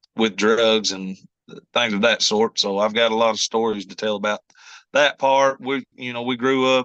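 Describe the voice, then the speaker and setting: With a strong Kentucky accent, a man speaks at a moderate pace with fairly even intonation and a bright, sharp tone, in a dry, close sound with no echo against a quiet background. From Kentucky, US. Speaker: country singer-songwriter. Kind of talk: interview. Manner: halting, many fillers.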